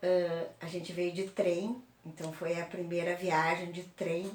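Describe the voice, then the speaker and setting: Amid noticeable background noise and audible room echo, a woman speaks at a very slow pace with a fairly low pitch and fairly even intonation. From southern Brazil (Porto Alegre), born in Uruguay. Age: 60s. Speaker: oral history interviewee. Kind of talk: oral history interview.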